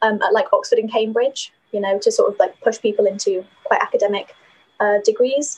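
Speaking at a moderate pace, a woman talks with a slight northern English accent. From Yorkshire, northern England. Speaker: university student and knitter. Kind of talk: casual interview chat. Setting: video call from student accommodation.

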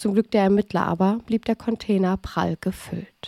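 A woman's dark, mellow voice holds a monotone, flat intonation in a dry, close recording with no echo, very clean with a silent background. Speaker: true crime podcast host and narrator. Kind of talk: scripted narration of a crime case.

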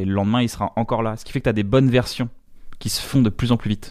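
At a very fast pace, a man talks at a medium pitch with fairly even intonation, in a very clean recording with a silent background. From northern France (Reims). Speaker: comedian. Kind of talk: casual chat. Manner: halting.

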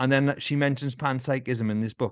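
This man talks at a very fast pace in a Welsh Valleys accent. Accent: south Welsh (Valleys). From Wales, Rhondda valleys. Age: 40s. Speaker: musician and former elite runner. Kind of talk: casual interview chat. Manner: animated, laughing often.

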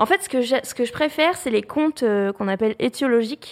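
A woman's high-pitched voice with lively intonation at a moderate pace, in a dry, close sound with no echo. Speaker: YouTuber, history educator. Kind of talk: interview. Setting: studio, livestream with chat.

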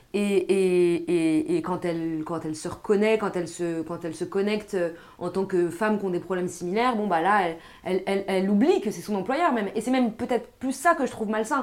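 A woman talks at a fairly quick pace with lively intonation. She has an unremarkable speaking voice at medium pitch. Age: 20s. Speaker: film podcast co-host. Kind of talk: casual chat.

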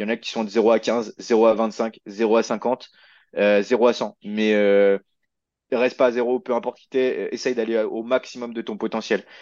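Monotone, flat intonation comes through a dry, close sound with no echo against a quiet background. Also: man. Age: 20s. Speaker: fitness coach. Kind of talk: interview. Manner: halting, many fillers.

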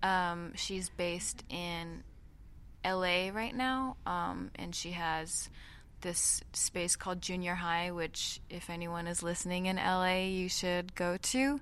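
Her pitch fairly low, a woman speaks at a very slow pace. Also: ordinary pitch variation. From Japan. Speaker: musician. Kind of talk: interview. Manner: hesitant with fillers.

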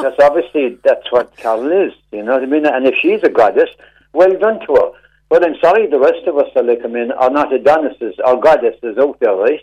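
A man with a Cork accent speaks at a fairly quick pace. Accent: Cork Irish. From Cork, Ireland. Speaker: caller. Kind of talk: radio call-in. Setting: phone call. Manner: animated.

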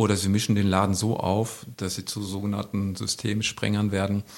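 Speaking at a moderate pace, a man with a fairly low pitch has an ordinary speaking voice. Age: 50s. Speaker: youth welfare worker. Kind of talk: casual interview.

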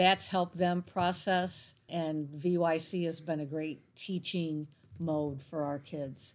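In an American accent, a speaker talks very slowly with a monotone, flat intonation on a very clean recording with a silent background. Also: woman. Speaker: youth minister. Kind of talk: interview.

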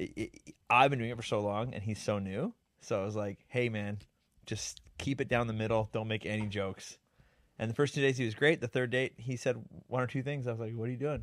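Recorded very cleanly against a silent background, a man with an ordinary speaking voice talks fairly quickly at medium pitch with fairly even intonation. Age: 30s. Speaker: podcast host, magician and YouTuber. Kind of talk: casual chat.

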